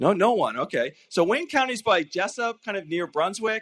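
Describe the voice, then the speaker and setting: A man talks in a Canadian accent at a moderate pace. His intonation is lively. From Canada (Nova Scotia). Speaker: university provost. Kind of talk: welcome address. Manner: halting, many fillers.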